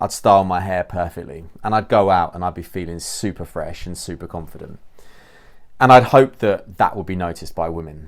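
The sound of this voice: In a very clean recording with a silent background, a man speaks at a moderate pace in a low pitch with ordinary pitch variation.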